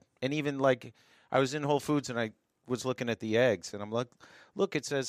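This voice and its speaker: A man in a normal speaking voice talks at a moderate pace and medium pitch with ordinary pitch variation, on a very clean, dry, close recording with no echo and a silent background. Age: 50s. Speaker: masters fitness athlete. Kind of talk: casual chat.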